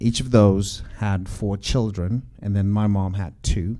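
With audible room echo around him, a man speaks at a fairly slow pace in a dark, mellow tone, his pitch fairly low and his intonation fairly even. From Zimbabwe. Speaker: church teacher. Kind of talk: church class teaching.

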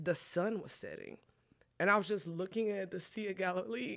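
A woman with a normal speaking voice talks at medium pitch and a moderate pace, with ordinary pitch variation. The recording is very clean, with a silent background. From Texas, Collin County. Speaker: pastor. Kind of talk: testimony.

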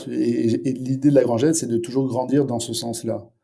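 A man talks at a moderate pace with a medium pitch and fairly even intonation. Audible echo from the room comes through. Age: 40s. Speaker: startup founder and CEO. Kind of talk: interview. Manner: halting, with repetitions and fillers.

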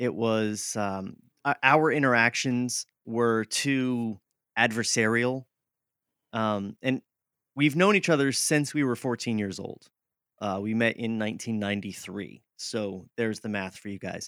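With an unremarkable speaking voice and an American accent, a man talks at a fairly slow pace and medium pitch with ordinary pitch variation, in a dry, close sound with no echo. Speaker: podcaster. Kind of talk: interview.

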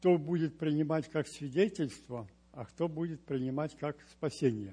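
A man speaks at a fairly slow pace in a fairly high pitch, his voice somewhat breathy with a dark, mellow tone and ordinary pitch variation. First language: Romanian (speaking Russian). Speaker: church member. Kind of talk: testimony.

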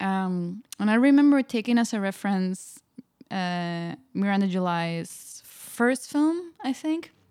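The tone is dark and mellow, with lively intonation. Delivery is very slow. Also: woman, medium pitch for a woman. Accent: Spanish. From Spain. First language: Spanish. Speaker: filmmaker and artist. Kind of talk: interview.

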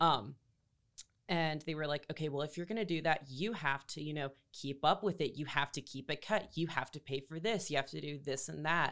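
Speaking at a fairly quick pace with an American accent, a woman uses a very deep, low pitch and ordinary pitch variation in a very clean recording with a silent background. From North Carolina (Greenville and Raleigh). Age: 20s. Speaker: university student. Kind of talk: personal testimony in interview. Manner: hesitant, many fillers.

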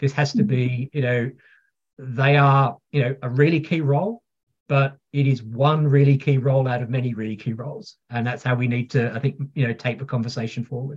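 A man's somewhat breathy voice at a fairly quick pace. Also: medium pitch for a man. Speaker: pharma technology executive. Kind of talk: interview conversation. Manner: energetic.

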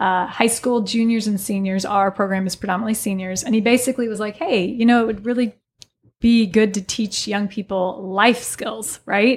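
A woman with a fairly high voice talks at a moderate pace with fairly even intonation, in an unremarkable speaking voice. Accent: American. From US Midwest, southern Illinois (Alton, Godfrey area). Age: 40s. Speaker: business instructor and yoga studio owner. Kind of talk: casual interview chat. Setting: studio.

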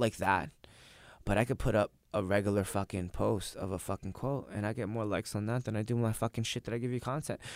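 A man's normal speaking voice, fairly low in pitch with ordinary pitch variation and a fairly quick pace, in a dry, close sound with no echo and a very clean recording over a silent background. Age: 20s. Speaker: jiu-jitsu instructor and competitor. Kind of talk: casual chat. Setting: studio.

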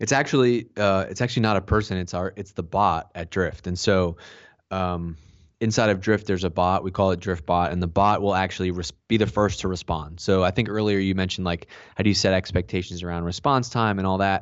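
Spoken at a fairly quick pace with an American accent, the delivery has fairly even intonation. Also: man, very deep, low pitch for a man. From Boston, US. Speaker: marketing executive. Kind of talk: podcast interview. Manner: casual, repeats words.

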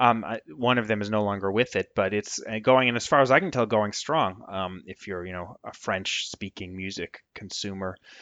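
Here a man speaks in a plain, everyday voice with an American accent. His pitch is fairly low, with ordinary variation, at a moderate pace. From Vermont. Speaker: music blogger and author. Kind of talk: interview.

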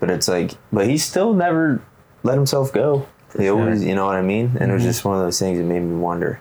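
Amid noticeable background noise, a man with a fairly low pitch talks at a very fast pace, his pitch swinging very widely. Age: 20s. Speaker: podcast co-host. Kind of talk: casual chat.

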